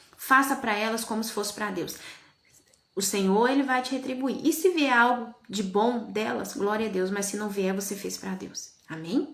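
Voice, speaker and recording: Fairly high in pitch, a woman speaks in an animated tone. Audible room echo surrounds her voice. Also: ordinary pitch variation, moderate pace. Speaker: evangelical preacher. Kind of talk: live-stream sermon.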